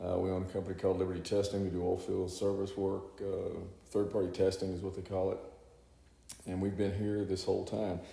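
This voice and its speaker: Fairly quick and somewhat breathy, a man with a Texan accent talks at a fairly low pitch in a monotone, flat intonation, with audible room echo. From Texas, Houston area. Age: 60s. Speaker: congressional candidate and businessman. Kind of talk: interview. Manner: halting, many fillers.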